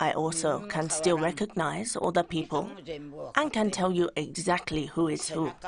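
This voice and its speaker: Against noticeable background noise, a woman speaks at a fairly low pitch. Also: ordinary pitch variation, moderate pace. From Japan, Okinawa. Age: 80s+. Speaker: elderly local resident. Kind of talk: interview.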